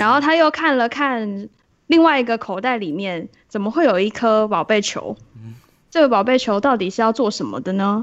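This is an ordinary speaking voice, a woman's, pitched fairly high. She moves at a moderate pace with lively intonation. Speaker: bookstore clerk podcast host. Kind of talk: casual chat.

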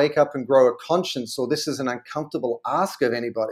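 A man talks at a very fast pace with an Australian accent. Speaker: brand consultant and author. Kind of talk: interview.

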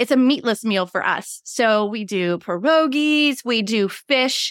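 A woman with an American accent has an ordinary speaking voice, fairly high in pitch and lively in intonation. The recording is very clean, with a silent background. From Pittsburgh area, US. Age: 40s. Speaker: podcast host, subscription box business coach. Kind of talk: casual chat.

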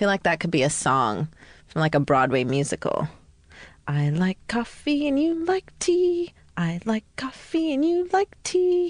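In a dry, close sound with no echo, a woman with a fairly high, somewhat breathy voice speaks at a fairly slow pace, her loudness very even and her pitch swinging very widely. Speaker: host's college friend and co-panelist. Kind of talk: casual comedic chat. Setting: studio with headphones.

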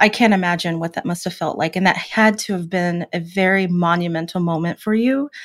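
A woman talks at a fairly quick pace and a medium pitch in a plain, everyday voice. The recording is very clean, with a silent background. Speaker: podcast co-host, powerlifter. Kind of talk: casual chat.

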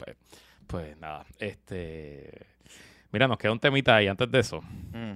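The very clean recording, with a silent background, has a man speaking with ordinary pitch variation. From Puerto Rico, San Juan metro area. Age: 40s. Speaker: podcast co-host. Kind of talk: casual chat.

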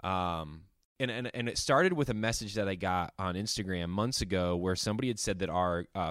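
At a fairly quick pace, a man with a plain, everyday voice and a fairly low pitch speaks with ordinary pitch variation on a very clean recording with a silent background. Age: 30s. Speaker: podcast host. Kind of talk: casual chat.

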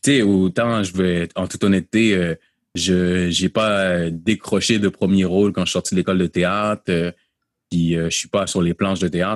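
Monotone and flat, a man talks at a moderate pace in a very deep, low pitch. The sound is dry and close, with no echo. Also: quiet background. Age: 30s. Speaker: pastor and slam poet. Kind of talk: interview. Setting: video call.

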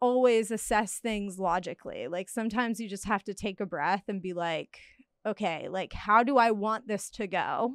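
A woman with a plain, everyday voice speaks at a moderate pace and a fairly high pitch. The recording is very clean with a silent background and a dry, close sound with no echo. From Hawaii, North Carolina and Cancun. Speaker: podcast guest. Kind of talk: casual chat.

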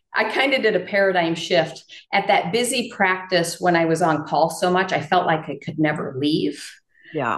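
Using an ordinary speaking voice, a woman with an American accent speaks at a moderate pace and fairly low pitch. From Iowa, north of Dubuque. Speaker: integrative veterinarian. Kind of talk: interview.

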